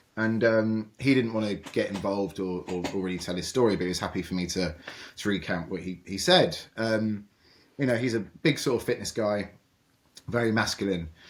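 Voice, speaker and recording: A man talks at a fairly quick pace in a fairly low pitch, with a British accent. The recording is very clean, with a silent background. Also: ordinary pitch variation. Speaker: cancer charity founder and survivor. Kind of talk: interview conversation. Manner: loud; hesitant, many fillers and repetitions.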